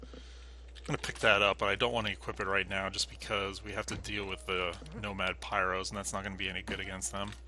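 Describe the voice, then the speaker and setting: A man with a very deep, low pitch talks at a very fast pace with vocal fry. His tone is bright and sharp. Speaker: gaming video creator. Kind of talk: let's play commentary.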